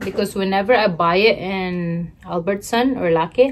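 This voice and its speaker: At a very slow pace, a woman talks with ordinary pitch variation. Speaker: mukbang vlogger. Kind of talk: casual vlog chat. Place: home room. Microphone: phone near.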